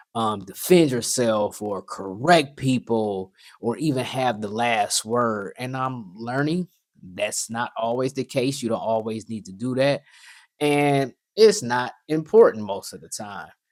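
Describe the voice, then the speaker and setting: A man with a medium pitch and ordinary pitch variation speaks at a fairly slow pace with big swings in loudness, in a very clean recording with a silent background. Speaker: podcast host. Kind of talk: casual monologue. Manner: repetitive, filler-heavy.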